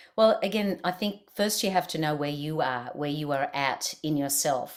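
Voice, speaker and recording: Speaking with an Australian accent, a woman talks at a moderate pace in a fairly low pitch with lively intonation. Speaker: leadership expert and keynote speaker. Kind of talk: interview.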